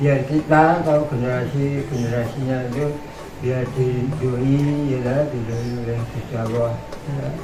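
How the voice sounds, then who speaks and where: Amid noticeable background noise and audible room echo, a man speaks at a moderate pace and medium pitch with monotone, flat intonation. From Central Java (Cilacap). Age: 70s. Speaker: village elder, tradition keeper. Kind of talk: interview. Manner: halting, many fillers and repeats.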